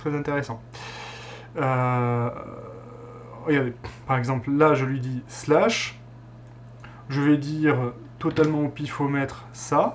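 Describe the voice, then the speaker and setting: The delivery is very slow, with long, frequent pauses and fairly even intonation. Light background noise sits underneath. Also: man. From southern France. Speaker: tech tutorial youtuber. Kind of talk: tutorial. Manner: casual, hesitant with many fillers. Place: home room.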